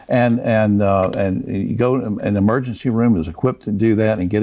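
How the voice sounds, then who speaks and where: Noticeable background noise surrounds this recording. A man speaks at a fairly low pitch. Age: 70s. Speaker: TV talk show host. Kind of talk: interview.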